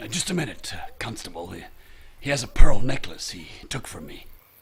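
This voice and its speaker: A man's put-on character voice at medium pitch, fairly quick, with very wide pitch swings and big swings in loudness. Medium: audio drama. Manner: blustering, bullying.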